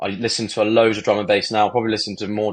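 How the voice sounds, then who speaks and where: Over a quiet background, a man talks at a very fast pace with a southern English accent. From southern England (Bournemouth). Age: 20s. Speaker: DJ and music producer. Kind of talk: podcast interview.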